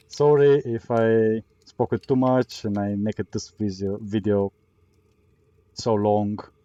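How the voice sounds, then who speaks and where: A man with a non-native accent, fairly low pitch and a dark, mellow tone, at a fairly slow pace with fairly even intonation and long, frequent pauses, in a dry, close sound with no echo. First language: not English. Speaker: gaming youtuber. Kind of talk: gameplay tutorial commentary. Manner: hesitant, many fillers.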